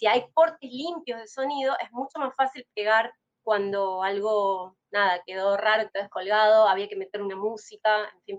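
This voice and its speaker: Speaking in a Rioplatense accent with hardly any pauses, a woman with a fairly high voice and ordinary pitch variation swings widely in loudness, recorded dry and close with no echo. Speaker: podcast host. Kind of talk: casual interview chat. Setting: live stream. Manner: fast.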